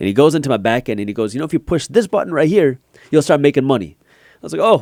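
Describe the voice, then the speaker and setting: A man with a fairly high pitch and vocal fry talks very fast, his pitch swinging very widely and his loudness shifting greatly, in a very clean, dry, close recording with no echo and a silent background. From US, Punjabi Indian immigrant family. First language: Punjabi. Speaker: finance YouTuber and entrepreneur. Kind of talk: podcast interview.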